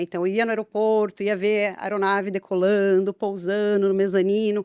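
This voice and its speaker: At a moderate pace, a woman with a São Paulo accent speaks at medium pitch in a dry, close sound with no echo. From Brazil, São Paulo state (Guarulhos). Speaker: biologist. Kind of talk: podcast interview.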